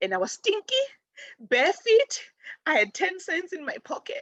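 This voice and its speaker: A woman speaks in an animated tone with very wide pitch swings. The sound is dry and close, with no echo. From Africa. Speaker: spiritual teacher. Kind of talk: personal storytelling. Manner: fast.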